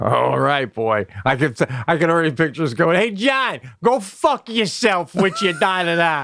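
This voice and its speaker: Over noticeable background noise, a man with a high pitch speaks at a moderate pace, his voice making very wide pitch swings while its loudness stays very even. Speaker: comedian. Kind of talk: casual chat. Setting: basement via FaceTime.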